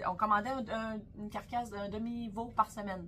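The voice belongs to a woman and sits at a medium pitch. Clear background noise can be heard throughout. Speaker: butcher and podcast co-host. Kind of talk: casual chat.

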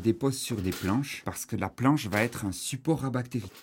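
At a moderate pace, a man speaks in a normal speaking voice with ordinary pitch variation. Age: 30s. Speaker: shepherd and cheese farmer. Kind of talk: guided farm tour.

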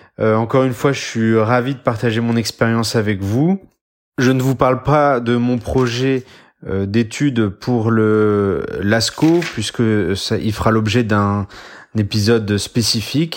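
In a very clean recording with a silent background, a man speaks very slowly at a very even loudness. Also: medium pitch for a man, ordinary pitch variation. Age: 30s. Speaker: military doctor. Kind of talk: scripted narration.

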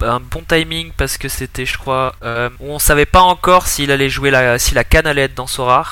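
A man talks at a moderate pace in an ordinary speaking voice. His pitch is fairly high. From southern France, Montpellier. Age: 20s. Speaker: digital marketing specialist, fantasy football player. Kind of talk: podcast interview.

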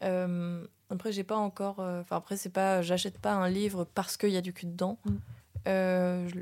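On a very clean recording with a silent background, a woman speaks at a fairly slow pace and medium pitch with a monotone, flat intonation. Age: 20s. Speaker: actress and dancer. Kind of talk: casual chat.

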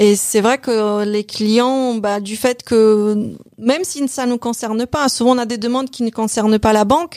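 Hardly pausing, a woman with a Polish accent talks at a fairly slow pace and a fairly high pitch. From Poland. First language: Polish (speaking French). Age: 50s. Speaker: bank advisor, former hairdresser and store manager. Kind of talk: interview about career change. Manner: hesitant, with repetitions.

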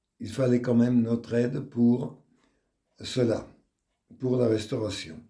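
A man's dark, mellow, somewhat breathy voice at a very slow pace, in a monotone with flat intonation. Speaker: retired teacher. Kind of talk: testimony interview.

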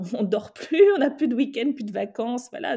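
The recording is very clean, with a silent background. The voice carries a dark, mellow tone. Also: woman. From West Africa. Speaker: journalist and fashion entrepreneur. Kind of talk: interview conversation.

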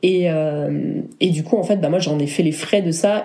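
Amid audible room echo, a woman speaks at a moderate pace in a fairly low voice with fairly even intonation. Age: 30s. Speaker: wedding photographer. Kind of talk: casual chat.

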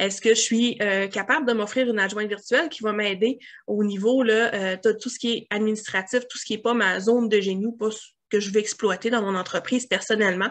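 A woman's fairly high-pitched voice in a Quebec accent, with fairly even intonation and a quiet background. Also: fairly quick pace. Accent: Québécois French. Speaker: grant consultant. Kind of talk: interview.

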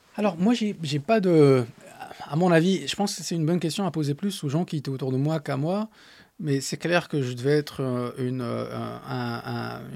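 With an Arabic accent, a man at fairly high pitch talks at a moderate pace with lively intonation. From Morocco, Agadir. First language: Arabic (speaking French). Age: 30s. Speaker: startup founder and CEO. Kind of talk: interview. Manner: halting.

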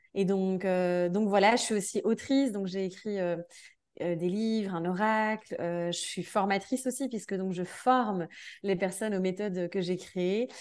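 Against a quiet background, a woman speaks at a medium pitch and a fairly slow pace with fairly even intonation. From Belgium. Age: 30s. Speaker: energy therapist and dance teacher. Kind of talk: casual interview. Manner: hesitant, many fillers.

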